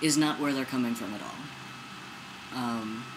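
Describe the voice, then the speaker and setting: The man's voice carries audible room echo over noticeable background noise. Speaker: video blogger. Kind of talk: personal vlog. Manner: casual, animated.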